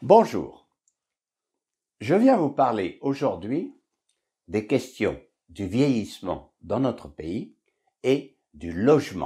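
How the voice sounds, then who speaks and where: Very slow and broken by long, frequent pauses, a man's medium-pitched voice with a dark, mellow tone and vocal fry swings very widely in pitch. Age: 70s. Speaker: author. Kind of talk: book presentation talk to camera. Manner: conversational, with fillers.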